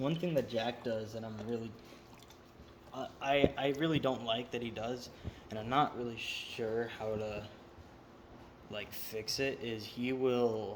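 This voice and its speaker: A man's medium-pitched voice at a fairly slow pace, fairly even in intonation, with long, frequent pauses and noticeable background noise. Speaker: vlogger. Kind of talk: casual monologue. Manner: halting, stuttering; rambling, talks in circles.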